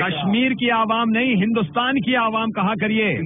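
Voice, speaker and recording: A man's high-pitched voice against noticeable background noise. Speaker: radio jockey doing prank calls. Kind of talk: prank phone call, comic banter.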